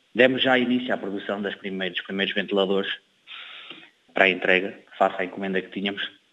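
A man in a northern Portuguese accent, very fast yet with long, frequent pauses, fairly low in pitch, fairly even in intonation, with big swings in loudness. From Cape Verde (São Filipe). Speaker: chemical engineer. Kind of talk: interview. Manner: halting, with fillers and repetitions.

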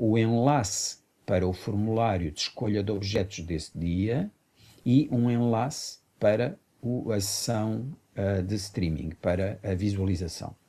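A dark, mellow tone at a fairly slow pace, on a very clean recording with a silent background. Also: man. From Mozambique, then Portugal from age 15. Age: 50s. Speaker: artistic director and performer. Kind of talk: radio interview.

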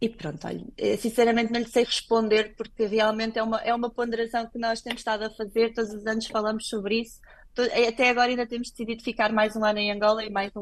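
A woman speaks at a fairly quick pace in an ordinary speaking voice, fairly high-pitched, against a quiet background. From Portugal. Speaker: clinical laboratory director. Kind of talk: radio interview.

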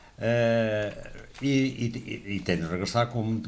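A man is speaking. There is audible room echo. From Angola. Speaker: political commentator. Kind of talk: radio panel debate. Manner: halting.

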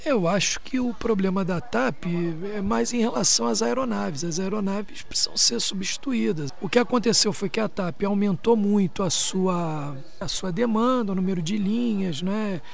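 A man talks in a high pitch with lively intonation. Room echo is audible. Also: moderate pace. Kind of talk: interview soundbite.

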